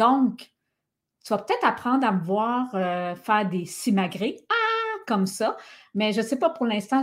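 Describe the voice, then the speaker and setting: Speaking with a Quebec accent, a woman uses a fairly high, somewhat breathy voice with lively intonation and an animated tone. She goes at a fairly slow pace, and the recording is very clean with a silent background. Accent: Québécois French. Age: 50s. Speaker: podcast host and wellness coach. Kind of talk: casual monologue podcast. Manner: animated, casual.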